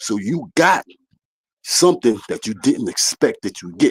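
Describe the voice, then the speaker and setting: The man speaks at a moderate pace. Vocal fry runs through his voice. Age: 60s. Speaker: caller. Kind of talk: heated debate. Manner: loud, talks over host.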